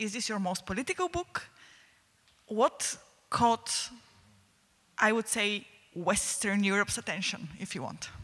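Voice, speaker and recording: A woman with a Bulgarian accent speaks at a fairly slow pace with long, frequent pauses, her fairly high voice marked by lively intonation. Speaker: audience member. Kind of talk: audience question. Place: hall. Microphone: handheld.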